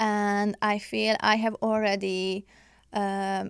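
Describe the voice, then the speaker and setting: On a very clean recording with a silent background, a woman with a Hungarian accent speaks at a very slow pace in a medium pitch with fairly even intonation. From Hungary, outskirts of Budapest. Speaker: international student and psychology researcher. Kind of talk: interview. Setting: studio. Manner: halting, many fillers.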